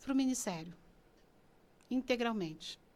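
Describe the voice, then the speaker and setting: A woman speaks in a high-pitched voice. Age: 60s. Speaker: pastor. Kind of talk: casual chat.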